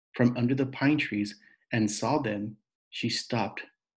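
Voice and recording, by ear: With a quiet background, the speaker reads aloud in a natural voice.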